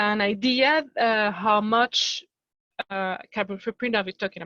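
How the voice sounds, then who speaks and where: A woman speaks with a French accent at a medium pitch. Her intonation is fairly even. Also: dry, close sound with no echo. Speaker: company sustainability representative. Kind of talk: workshop discussion. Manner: halting.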